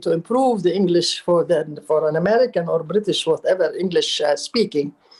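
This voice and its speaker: A woman with an Arabic accent, medium in pitch and dark and mellow in tone, at a fairly quick pace with hardly any pauses. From Palestine. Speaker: writer and architect. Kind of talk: interview.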